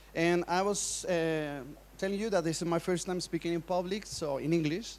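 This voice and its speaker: A man with a Spanish accent, high pitch and fairly even intonation, at a moderate pace. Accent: Spanish-speaker accent in English. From Colombia. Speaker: preacher and speaker. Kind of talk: conference talk. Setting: stage with audience. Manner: halting.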